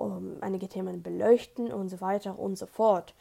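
At a fairly slow rate, the woman talks in a dark, mellow tone. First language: not German (speaking German). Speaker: podcast host. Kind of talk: solo podcast monologue. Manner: halting.

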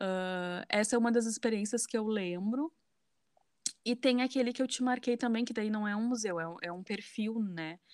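On a very clean recording with a silent background, a woman with a southern Brazilian accent talks at a moderate pace in a fairly high pitch with ordinary pitch variation. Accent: Porto Alegre (gaúcho). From southern Brazil, Porto Alegre. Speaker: museum educator and social media creator. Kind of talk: casual interview.

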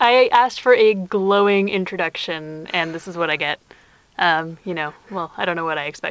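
Natural reading voice

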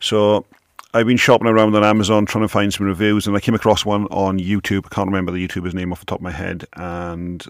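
In a very clean recording with a silent background, a man with a British accent talks very fast in a fairly low, monotone, flat voice. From UK. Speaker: podcaster and tech blogger. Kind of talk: casual monologue. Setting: home office. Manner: unscripted, with stumbles.

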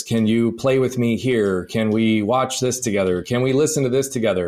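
A man with a plain, everyday voice at a medium pitch is heard on a very clean recording with a silent background. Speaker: podcast host. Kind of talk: interview conversation.

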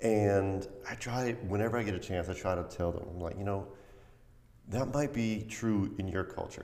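With an American accent, a man in a normal speaking voice talks at a moderate pace, his fairly low pitch held in fairly even intonation. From US, Irish American family. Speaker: podcast host. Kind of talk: casual interview.

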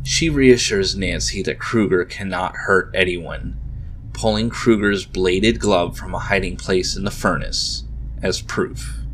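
In a dramatic tone, a man speaks at a fairly slow pace against noticeable background noise. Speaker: podcast host. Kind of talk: horror story narration. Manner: dramatic, suspenseful storyteller.

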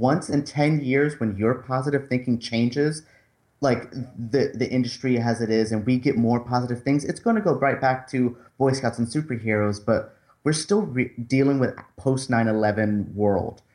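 An unremarkable speaking voice comes at a moderate pace with very even loudness and ordinary pitch variation over a quiet background. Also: man, medium pitch for a man. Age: 20s. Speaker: movie critic and co-host. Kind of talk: casual chat.

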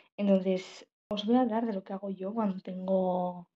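Somewhat breathy, a woman's voice sits at medium pitch with a dark, mellow tone. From Spain, La Rioja. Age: 18. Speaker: journalism student podcaster. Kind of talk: personal monologue podcast.

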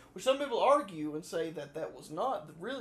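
A man with a Southern US accent, music in the background. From US South. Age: 20s. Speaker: podcast co-host, college student. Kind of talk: casual chat.

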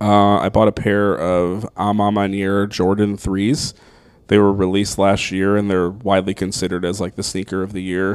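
An American-accented man speaks in a fairly low pitch with monotone, flat intonation. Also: moderate pace. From upstate New York (Niagara Falls, Buffalo). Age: 30s. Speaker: comedian. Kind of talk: casual chat. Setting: host's apartment.

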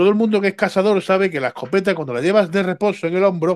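A man's high-pitched voice in a dry, close sound with no echo. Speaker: left-wing party representative. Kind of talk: heated debate.

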